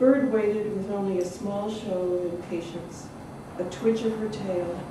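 Audible room echo and noticeable background noise surround this recording. A woman speaks at a moderate pace with ordinary pitch variation. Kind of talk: reading aloud from a novel. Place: hall. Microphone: camera far.

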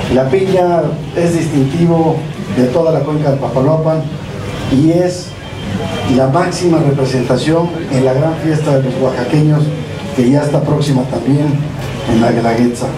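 With noticeable background noise behind him, a man speaks at a fairly high pitch, at a fairly slow pace and with fairly even intonation. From Mexico, Oaxaca (Loma Bonita). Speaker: state government official. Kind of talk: official ceremony speech. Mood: grateful, proud. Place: street.

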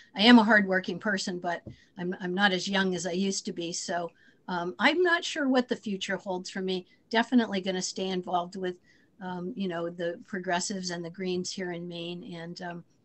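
Her intonation stays fairly even, and this woman speaks at a medium pitch. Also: big swings in loudness. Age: 60s. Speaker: former senate candidate and teacher; candidate, teacher. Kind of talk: Q&A on a video call. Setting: video call. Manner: hesitant, many fillers. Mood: modest, reflective. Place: home room. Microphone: video call.

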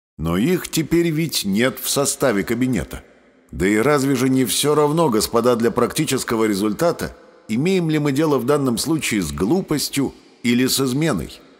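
Music plays behind a man speaking at a moderate pace in a medium pitch. His loudness stays very even while his intonation is lively. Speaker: audiobook narrator. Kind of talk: reading aloud a historical parliamentary speech, audiobook style, with stage remarks.

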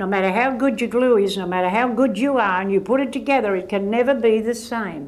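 A woman with an Australian accent speaks at a fairly quick pace in a fairly high pitch. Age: 80s+. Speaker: author and volunteer counsellor. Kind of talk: interview answer. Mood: firm, earnest. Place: hall. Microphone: lapel.

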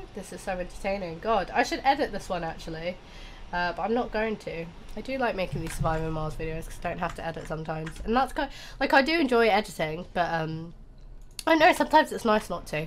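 Over music in the background, a woman of medium pitch talks at a very fast pace, her pitch swinging very widely and her loudness rising and falling sharply. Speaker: gaming YouTuber. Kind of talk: casual gameplay commentary.

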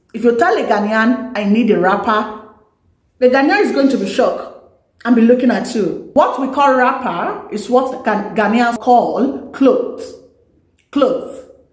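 With lively intonation and a high pitch, a woman speaks at a fairly slow pace in a room with audible echo. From Nigeria. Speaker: YouTuber; vlogger. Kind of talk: vlog talk to camera. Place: home room.

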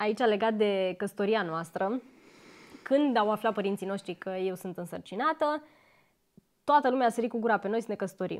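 This woman's fairly high voice moves at a moderate pace. Her pitch varies in an ordinary way, broken by long, frequent pauses. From Romania. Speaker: YouTuber. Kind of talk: casual chat. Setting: home, on a couch. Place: home room. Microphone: lapel.

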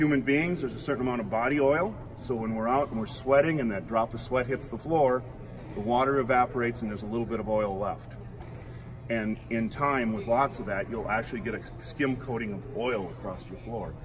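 Noticeable background noise runs through the clip. In it, a man speaks fairly quickly with ordinary pitch variation. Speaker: floor maintenance instructor. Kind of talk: tutorial. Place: hall. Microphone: camera far.

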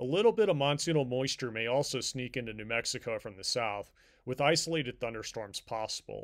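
A man with a plain, everyday voice talks at a fairly quick pace and medium pitch, with ordinary pitch variation. The recording is very clean, with a silent background. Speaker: meteorologist. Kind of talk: weather report. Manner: formal; steady, measured, even-paced.

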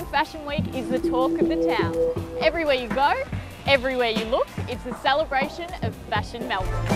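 A woman talks at a moderate pace over loud music in the background. The sound is dry, with no echo. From Australia. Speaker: TV presenter. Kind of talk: TV presenting to camera. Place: street. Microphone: lapel.

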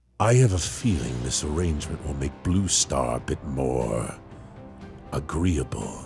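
Over clear background music, a man performs a cartoonish character voice with a menacing tone at a moderate pace. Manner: menacing, commanding.

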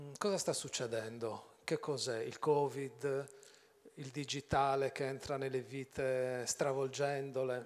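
Speaking at a very slow pace, a man keeps a medium pitch and fairly even intonation. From Sardinia. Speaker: journalist moderator. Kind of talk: onstage interview. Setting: stage with audience. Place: stage. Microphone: handheld.

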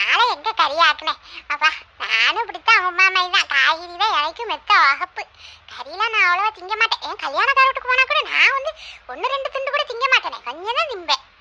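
Doing a cartoonish character voice, a woman speaks at an extremely high pitch and a moderate pace, swinging very widely in pitch. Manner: brash, scolding.

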